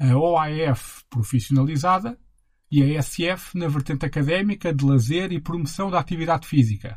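On a very clean recording with a silent background, a man talks in a somewhat breathy voice at a fairly high pitch. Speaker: podcast host and narrator. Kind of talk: scripted narration.

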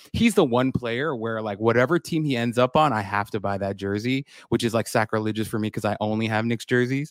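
Recorded dry and close with no echo and a silent, very clean background, a man with an American accent talks fairly quickly at a medium pitch, with ordinary pitch variation and hardly any pauses. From New York City (Queens). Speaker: basketball draft analyst and podcaster. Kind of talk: casual chat.

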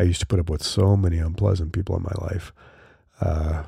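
This man's voice has a dark, mellow tone and is somewhat breathy, captured in a very clean recording with a silent background. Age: 50s. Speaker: podcast host. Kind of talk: solo podcast monologue. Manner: casual, with fillers.

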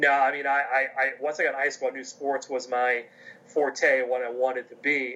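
A man talks with an American accent. His pitch sits in the medium range. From US, coal region of Pennsylvania. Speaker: athletic conference communications officer. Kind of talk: interview.

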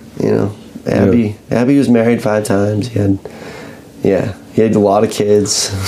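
Noticeable background noise sits behind this man. He speaks at a moderate pace with very even loudness and monotone, flat intonation. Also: fairly low pitch for a man. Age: 30s. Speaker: podcast host and small press publisher. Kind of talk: casual chat.

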